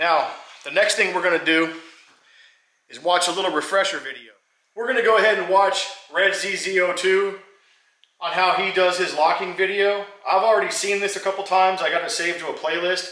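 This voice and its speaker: Over a quiet background with audible room echo, a man uses a raised, projected voice at a fairly quick pace in a monotone, flat intonation. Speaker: hobby mechanic vlogger. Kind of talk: casual vlog chat. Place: garage. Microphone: camera far.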